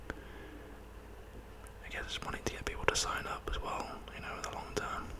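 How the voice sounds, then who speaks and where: A man is whispering at a moderate pace, with noticeable background noise behind him. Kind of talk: ASMR whispered video about propaganda posters. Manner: whispered, soft-spoken.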